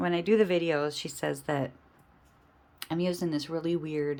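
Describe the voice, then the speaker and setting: The recording of this woman is very clean, with a silent background. Her pitch moves in an ordinary way. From Michigan. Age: 50s. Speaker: budgeting vlogger. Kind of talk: casual chat. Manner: casual, unscripted.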